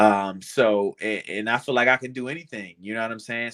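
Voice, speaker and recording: A man speaks with a bright, sharp tone. The sound is dry and close with no echo, in a very clean recording with a silent background. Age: 20s. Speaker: pro wrestler. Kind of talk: casual chat.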